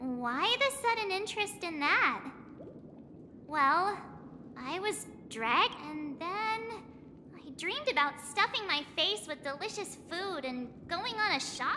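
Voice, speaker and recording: An extremely high, put-on character voice at a fairly slow pace with long, frequent pauses, over clear background noise. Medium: video game.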